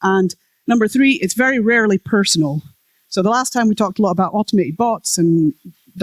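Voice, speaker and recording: A woman's very fast, lively-toned speech, dry and close with no echo. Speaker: conference speaker, web developer. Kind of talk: conference talk. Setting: stage with audience.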